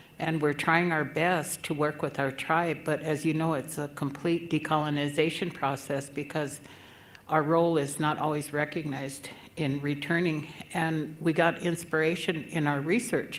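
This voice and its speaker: Amid audible room echo, a woman speaks with monotone, flat intonation at a very deep, low pitch. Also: moderate pace. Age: 70s. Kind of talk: conference address.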